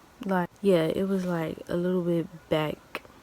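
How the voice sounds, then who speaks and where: Quiet and with fairly even intonation, a woman speaks. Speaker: YouTuber telling personal stories. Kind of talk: storytime vlog. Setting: at home, early morning. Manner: talking low, quiet; stuttering, halting.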